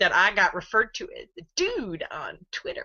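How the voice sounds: A woman speaks at a moderate pace and a medium pitch, her bright, sharp tone swinging very widely in pitch.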